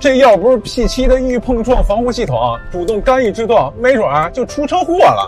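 Clear background music with a dry sound and no echo. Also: man. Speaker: car reviewer as passenger. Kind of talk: scripted explanatory skit. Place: car. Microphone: lapel.

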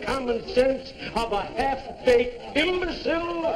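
The speech comes at a very slow pace with noticeable background noise. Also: man. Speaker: comedy actor. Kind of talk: scripted comic dialogue. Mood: mock-indignant, grandiloquent. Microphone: old recording.

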